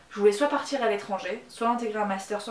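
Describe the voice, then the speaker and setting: A woman at a moderate pace with ordinary pitch variation, audible room echo and noticeable background noise. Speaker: YouTuber. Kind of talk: vlog monologue. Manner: hesitant, many fillers.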